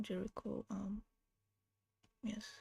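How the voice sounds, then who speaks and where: Delivered at a fairly slow pace, the speech carries a non-native accent. The recording is very clean, with a silent background. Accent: non-native, says own accent is bad. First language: not English. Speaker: digital artist streaming a live drawing. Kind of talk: casual livestream commentary while drawing. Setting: livestream with voice chat on a home PC. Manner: hesitant, many fillers.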